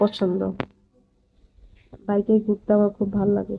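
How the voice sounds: Vocal fry runs through this woman's speech.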